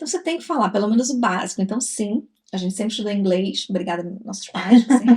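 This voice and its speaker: A woman talks at a very fast pace in a fairly high pitch. Her voice is somewhat breathy, with lively intonation. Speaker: travel vlogger. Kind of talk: casual chat.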